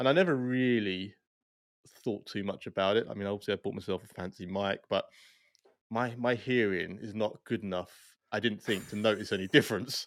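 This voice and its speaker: A man with a normal speaking voice talks at a fairly quick pace, his pitch fairly low with ordinary variation, on a very clean recording with a silent background. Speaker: podcast host. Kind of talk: casual interview.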